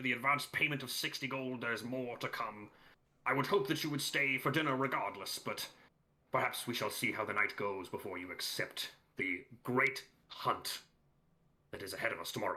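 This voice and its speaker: In a put-on character voice, a man speaks at medium pitch and a moderate pace. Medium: actual play. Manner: jovial, grandiose.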